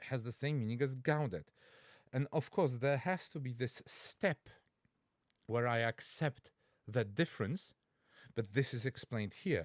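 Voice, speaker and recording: A man with a Polish accent and a medium-pitched voice talks at a fairly slow pace with lively intonation and long, frequent pauses, in a dry, close recording with no echo. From Poland. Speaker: language teacher and Latin learner. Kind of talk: reaction video commentary. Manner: halting, with fillers and self-corrections.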